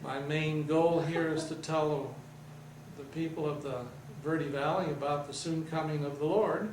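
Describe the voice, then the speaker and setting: Speaking at a fairly slow pace, a man with a fairly high pitch keeps a monotone, flat intonation. Noticeable background noise and audible room echo surround him. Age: 70s. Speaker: religious TV station operator. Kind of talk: interview.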